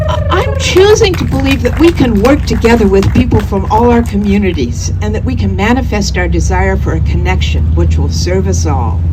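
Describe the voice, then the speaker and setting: This woman has a very deep, low pitch and speaks at a moderate pace with hardly any pauses. Noticeable background noise sits underneath. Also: ordinary pitch variation. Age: 70s. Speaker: artist and activist speaker. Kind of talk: public speech at a rally.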